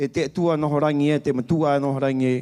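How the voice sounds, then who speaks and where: At a fairly quick pace, a man with a fairly high pitch and a dark, mellow tone speaks with fairly even intonation. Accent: Easter Island. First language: Rapa Nui (speaking Spanish). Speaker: spiritual leader giving a blessing. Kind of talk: blessing prayer at festival opening. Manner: solemn.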